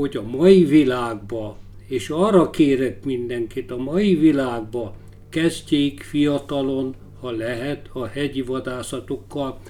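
Speaking very slowly with lively intonation and big swings in loudness, a man has a dark, mellow tone at a medium pitch. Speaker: big-game hunter and author. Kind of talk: interview. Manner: halting.

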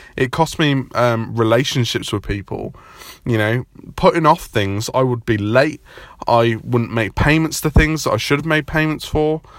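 With a normal speaking voice, a man speaks at a moderate pace, his medium pitch showing ordinary pitch variation. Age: 20s. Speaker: podcast host. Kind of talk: solo podcast monologue. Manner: casual, many fillers.

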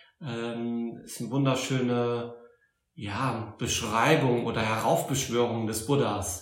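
A man at a very slow pace, medium in pitch, with fairly even intonation, big swings in loudness and audible room echo. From Saarland, Germany (Saarbrücken). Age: 40s. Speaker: Buddhist teacher. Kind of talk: interview. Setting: Buddhist centre in Berlin.

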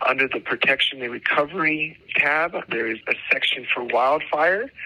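With noticeable background noise behind him, a man speaks in a New Mexico accent with fairly even intonation. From New Mexico (Tucumcari). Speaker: government agriculture official. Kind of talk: informational interview.

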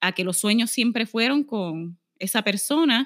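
The recording is very clean, with a silent background and a dry, close sound with no echo. A woman speaks fairly slowly at a fairly high pitch, with ordinary pitch variation. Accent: Puerto Rican. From Puerto Rico, Aguadilla. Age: 30s. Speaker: lawyer and corporate negotiator. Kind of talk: casual interview.

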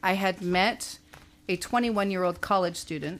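Her intonation fairly even and her pace moderate, a woman talks at a medium pitch. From small-town Canada. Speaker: former model. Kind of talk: interview storytelling.

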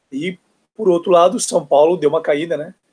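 High-pitched male speech, its pitch moving up and down in an ordinary way. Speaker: football podcast guest. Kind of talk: casual chat.

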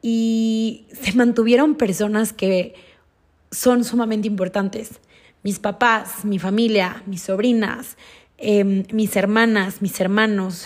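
A woman speaks at a very slow pace in a fairly high, somewhat breathy voice. Her intonation stays fairly even. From Mexico, Durango. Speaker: podcast host and ceremony guide. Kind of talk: personal storytelling monologue.

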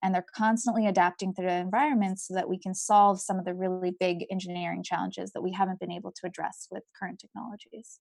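The sound is dry and close with no echo, and the background is quiet. A woman speaks at medium pitch with fairly even intonation. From India and Kenya, moved to US at ten. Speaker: engineering researcher. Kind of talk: interview.

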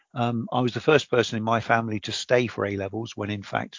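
A man with an English accent talks fairly quickly at a medium pitch. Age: 60s. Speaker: president of an engineering professional body. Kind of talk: interview.

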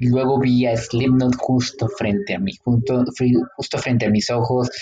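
A man with a Mexican accent talks at a moderate pace. His pitch sits in the medium range. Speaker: podcast co-host. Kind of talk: casual chat.

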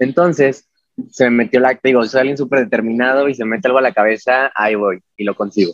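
Very fast speech from a medium-pitched man, ordinary pitch variation, dry and close with no echo. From Mexico, Puebla. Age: 20s. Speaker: figure skater. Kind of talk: casual interview.

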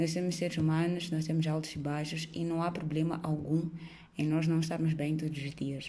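With audible room echo, a woman speaks at a moderate pace in a somewhat breathy voice with a dark, mellow tone, a very deep, low pitch and monotone, flat intonation. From Mozambique. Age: 20s. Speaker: podcast host. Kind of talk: solo monologue podcast.

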